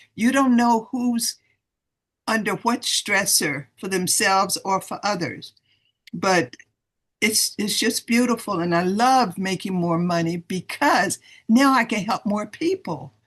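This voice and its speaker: A somewhat breathy woman at medium pitch, with lively intonation and a fairly slow pace. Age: 70s. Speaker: retired professor and sales distributor. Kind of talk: testimony. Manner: animated.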